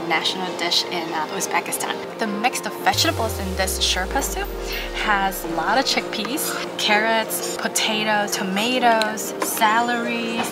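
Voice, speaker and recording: Loud music plays behind a woman speaking at a moderate pace. The sound is dry, with no echo. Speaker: food vlogger. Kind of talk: casual vlog chat. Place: cafe. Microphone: camera far.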